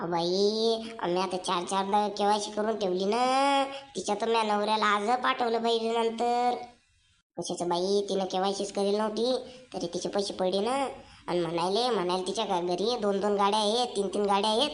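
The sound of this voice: A cartoonish character voice at a moderate pace. The intonation stays fairly even. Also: woman, medium pitch for a woman.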